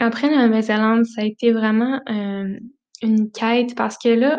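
A woman speaks in a Quebec accent with a dark, mellow tone and monotone, flat intonation. Her pace is fairly slow, and the background is quiet. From Quebec, Centre-du-Québec village. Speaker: travel podcast host. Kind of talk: casual monologue.

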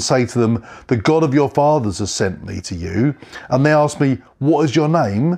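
Very wide pitch swings run through this man's speech at a moderate pace. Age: 40s. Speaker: pastor. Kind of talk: sermon.

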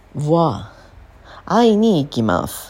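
With very wide pitch swings, a woman speaks on a very clean recording with a silent background. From Japan. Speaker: Japanese language teacher. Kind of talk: language lesson. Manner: slow.

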